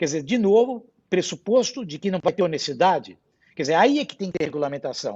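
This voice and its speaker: A man's voice sits high. His pitch swings very widely. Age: 60s. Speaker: hospital board chairman. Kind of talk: panel discussion. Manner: animated.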